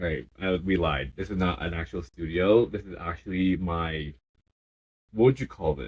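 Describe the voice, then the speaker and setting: The man's voice is very deep and low, with vocal fry. He talks at a moderate pace. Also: ordinary pitch variation. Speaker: podcast co-host. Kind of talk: casual chat. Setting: home basement living area.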